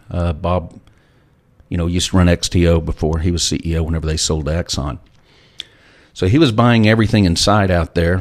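Very deep and low in pitch, a man with a Texan accent talks at a moderate pace with ordinary pitch variation and long, frequent pauses. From Texas, Lubbock. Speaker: former oil company CEO. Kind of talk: interview.

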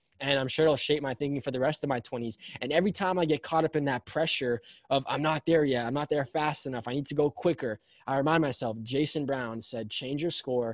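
A plain, everyday voice from a man, fairly high in pitch, at a fairly quick pace with fairly even intonation and a dry, close sound with no echo. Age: 20s. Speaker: motivational speaker. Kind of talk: casual chat.

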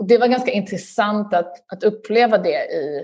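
At a moderate pace, a woman with a medium pitch and ordinary pitch variation has an unremarkable speaking voice. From southern Sweden, Lund. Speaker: journalist and author. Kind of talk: interview.

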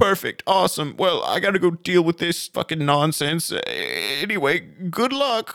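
A man puts on a character voice, pitched high. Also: moderate pace.

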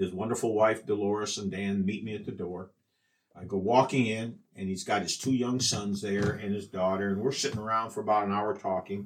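A man's fairly low voice with a Midwestern American accent, fairly quick and monotone in flat intonation. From US Midwest, Iowa. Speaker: journalist and wrestling historian. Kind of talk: interview storytelling. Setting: in person at the museum.

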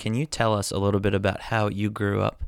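Speaking at a very fast pace, a man comes through on a very clean recording with a silent background. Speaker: podcast host. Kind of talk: interview.

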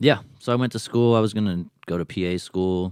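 Heard in a very clean recording with a silent background, the speaker has a Californian accent and talks at a fairly quick pace with ordinary pitch variation. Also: man. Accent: Californian American English. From Southern California (Long Beach, Lakewood). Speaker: Air Force veteran. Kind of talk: casual chat. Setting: studio.

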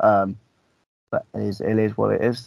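A man's fairly low voice with vocal fry, little pitch movement, a slightly mellow tone and a moderate pace.

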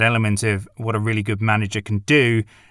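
The speaker talks at a fairly quick pace with a British accent, in a dry, close sound with no echo and a very clean recording with a silent background. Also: man. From Britain. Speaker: film critic podcaster. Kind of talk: film review monologue.

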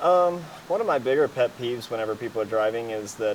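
Using a normal speaking voice, a man speaks fairly quickly with ordinary pitch variation. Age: 30s. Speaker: professional off-road racer. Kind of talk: casual interview. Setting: race shop.

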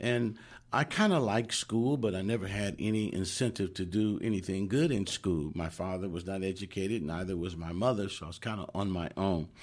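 A man with an American accent uses an ordinary speaking voice at a fairly low pitch and moderate pace. His pitch variation is ordinary, and the background is quiet. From Oakland, California. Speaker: chaplain. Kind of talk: testimony. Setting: studio.

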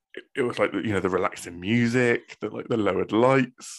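Fairly quick speech with a Bristol accent and ordinary pitch variation, in a very clean recording with a silent background. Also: man. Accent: Bristolian, West Country English. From Bristol, England. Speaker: podcast host. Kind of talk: casual chat between friends.

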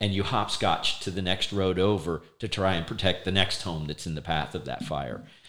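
Speaking with an American accent, a man talks at a moderate pace in a very deep, low pitch with fairly even intonation. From South Florida (Fort Lauderdale). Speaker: retired fire chief. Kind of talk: casual interview chat. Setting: office studio.

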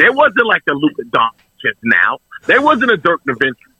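A man sounds animated, his voice making very wide pitch swings. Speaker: sports podcast co-host. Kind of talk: casual chat. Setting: video call.

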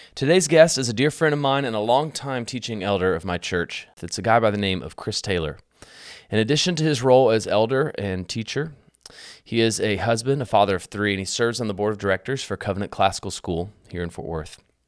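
With a normal speaking voice, a man with an American accent talks at a fairly quick pace, fairly low in pitch, with lively intonation, on a very clean recording with a silent background. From rural Texas. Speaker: podcast host. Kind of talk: casual interview with scripted intro and outro.

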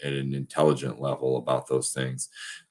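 This man has a very deep, low pitch and an American accent. His tone is relaxed, his intonation monotone and flat, and his pace moderate. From Michigan. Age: 30s. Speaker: professional wrestler. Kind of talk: casual interview. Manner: relaxed, reflective, with many fillers.

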